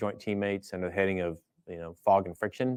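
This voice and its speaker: A man with fairly even intonation in a very clean recording over a silent background. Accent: American. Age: 50s. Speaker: air force general, fighter pilot. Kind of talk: interview conversation. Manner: halting with many fillers.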